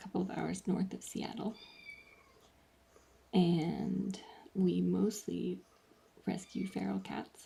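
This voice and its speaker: A quiet, very slow delivery with long, frequent pauses. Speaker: cat rescue live streamer. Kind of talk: live stream voiceover commentary. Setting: home, in another room during live stream. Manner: talking quietly.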